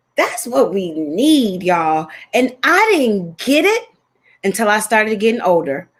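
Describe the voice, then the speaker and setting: The speech moves at a fairly slow pace with very wide pitch swings and very even loudness. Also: woman, fairly high pitch for a woman. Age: 40s. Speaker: fitness trainer and show host. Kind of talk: casual chat. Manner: animated.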